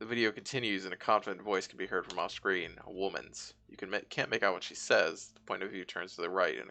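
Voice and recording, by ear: Fairly even intonation marks this natural voice reading aloud.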